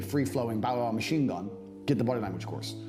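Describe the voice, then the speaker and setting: Speech comes at a very fast pace with audible room echo and music in the background. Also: man. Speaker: online business coach. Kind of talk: motivational talk. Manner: animated.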